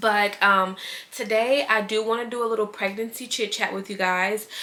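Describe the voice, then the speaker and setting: A woman talks in a monotone, flat intonation while noticeable background noise sounds behind her. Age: 20s. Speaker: lifestyle vlogger. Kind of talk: casual chat. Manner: casual, with fillers.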